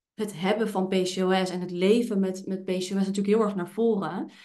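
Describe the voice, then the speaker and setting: The speech is fairly slow with monotone, flat intonation. Room echo is audible. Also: woman. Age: 20s. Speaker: podcast host and hormone therapist with PCOS. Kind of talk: casual chat. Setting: office.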